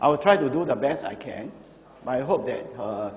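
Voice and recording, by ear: Set against audible room echo, a man talks at a moderate pace with medium pitch, lively intonation and a slightly mellow tone.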